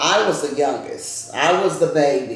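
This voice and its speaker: Through noticeable background noise and audible room echo, a woman speaks in a warm tone with a Louisiana accent. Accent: Southern US (Louisiana). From US South. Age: 70s. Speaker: grandmother telling family history. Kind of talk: casual interview with grandchildren. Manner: conversational, warm storytelling.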